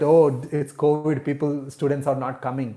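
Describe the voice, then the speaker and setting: A man's fairly high-pitched voice with a dark, mellow tone, a non-native accent, monotone, flat intonation and a moderate pace. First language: not English. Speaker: real estate agent. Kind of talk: live stream Q&A. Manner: casual, with many fillers.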